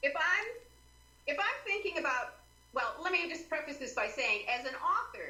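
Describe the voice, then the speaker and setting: Projecting a raised voice at a moderate pace, a woman speaks in an animated tone at an extremely high pitch with very wide pitch swings, leaving long, frequent pauses amid audible room echo. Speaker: author and writing consultant. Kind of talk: interview.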